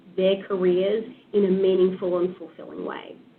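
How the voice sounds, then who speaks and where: A woman talks with an Australian accent. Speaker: HR program leader. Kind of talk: presentation.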